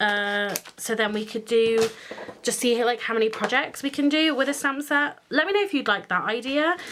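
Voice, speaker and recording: A woman with a British accent, fairly high in pitch, at a moderate pace, with lively intonation. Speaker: craft youtuber. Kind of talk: tutorial. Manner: hesitant, many fillers.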